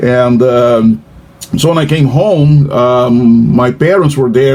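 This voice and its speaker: The speaker has a Portuguese accent, heard against noticeable background noise. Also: man. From Brazil. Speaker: professor. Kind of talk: casual chat. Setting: video call. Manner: halting.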